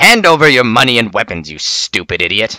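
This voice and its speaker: Using a put-on character voice, a man growls at a fairly quick pace from a medium pitch with very wide pitch swings, the sound dry and close with no echo. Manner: snarling, growling, aggressive.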